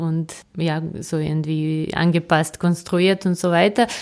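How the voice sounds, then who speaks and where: Delivered in a Serbian accent, the speech moves at a fairly slow pace with fairly even intonation. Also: woman. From Serbia, Belgrade. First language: Serbian (speaking German). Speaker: novelist. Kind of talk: interview. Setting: in person at her writing office. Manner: hesitant, many fillers.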